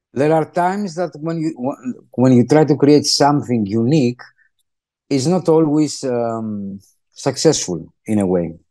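In a Greek accent, a man speaks with a dark, mellow tone and lively intonation at a fairly slow pace. Long, frequent pauses break his speech, and the background is quiet. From Greece. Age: 50s. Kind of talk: interview. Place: home room. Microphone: video call.

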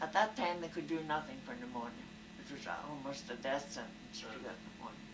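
A woman talks at a fairly quick pace and a fairly low pitch, with very wide pitch swings and big swings in loudness. Noticeable background noise is present. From Belfast. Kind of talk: interview answer. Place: home room. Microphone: old recording.

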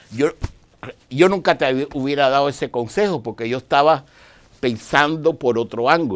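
The man's pitch is fairly high, with ordinary variation. He keeps a moderate pace. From outside Dominican Republic. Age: 60s. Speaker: Dianetics practitioner; guest. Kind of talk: interview. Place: studio.

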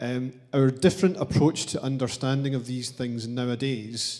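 Against a quiet background, a man speaks at a fairly slow pace with fairly even intonation. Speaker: audience member. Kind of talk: audience question. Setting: lecture hall with audience. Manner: halting. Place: hall. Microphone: handheld.

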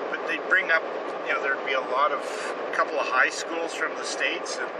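Loud background noise runs behind a man. The sound itself is dry, with no echo. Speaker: vlogger. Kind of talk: casual vlog chat. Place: car. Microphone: phone near.

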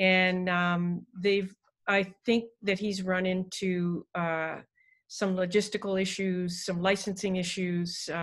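Her pitch is medium and her intonation monotone and flat. The woman speaks against a quiet background. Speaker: university music professor. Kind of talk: online panel discussion. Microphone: video call.

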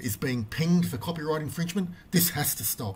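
A somewhat breathy voice that moves with lively intonation. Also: man. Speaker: video creator. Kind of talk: angry rant about YouTube copyright claims, to camera. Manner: indignant, emphatic, repeating phrases; fast, stumbling with frequent fillers and restarts.

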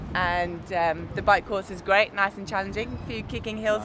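A woman speaks with noticeable background noise. The sound is dry with no echo. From Britain. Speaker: race commentator. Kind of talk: interview answer. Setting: outdoors at a triathlon event. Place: street. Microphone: camera far.

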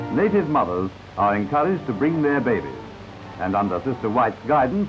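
Music in the background behind a man's medium-pitched voice with very wide pitch swings. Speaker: newsreel narrator. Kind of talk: 1950s newsreel narration.

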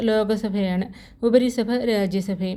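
A woman's dark, mellow tone, fairly high in pitch, with fairly even intonation. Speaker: quiz video presenter. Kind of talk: reading quiz questions aloud.

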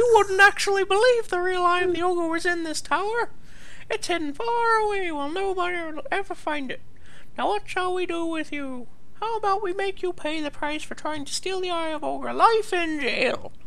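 The put-on character voice sits at an extremely high pitch and moves at a moderate pace over noticeable background noise. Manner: gloating.

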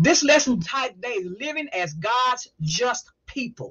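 A woman speaks against a quiet background. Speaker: Bible study teacher. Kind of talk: prayer then lecture-style teaching. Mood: warm, devotional. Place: home room. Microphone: webcam.

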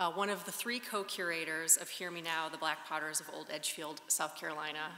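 A woman with a fairly low voice speaks in a room with audible echo. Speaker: speaker. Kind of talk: formal introduction speech. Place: hall. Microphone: podium.

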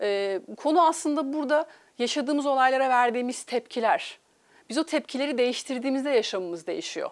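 Here a woman speaks at a high pitch and a fairly quick pace. Her intonation is lively, and the background is quiet. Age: 40s. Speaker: life coach. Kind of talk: TV interview. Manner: hesitant, many filler sounds. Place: studio.

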